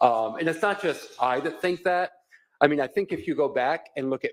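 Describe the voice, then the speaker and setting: This man talks at a moderate pace with ordinary pitch variation. The sound is dry and close, with no echo. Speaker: defense attorney. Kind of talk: courtroom argument. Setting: courtroom. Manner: loud.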